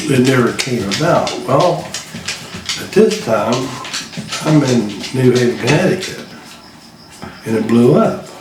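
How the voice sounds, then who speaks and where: A man with an Appalachian accent talks at a moderate pace in a medium pitch, his voice making very wide pitch swings amid audible room echo and noticeable background noise. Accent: Appalachian American. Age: 60s. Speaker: retired coal miner and Vietnam veteran. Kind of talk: casual interview.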